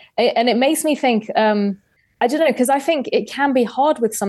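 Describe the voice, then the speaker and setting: Speaking at a fairly quick pace with ordinary pitch variation, a woman is heard over a quiet background. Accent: London. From London, England. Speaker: investigative journalist and podcaster. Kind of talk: casual interview chat. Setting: video call.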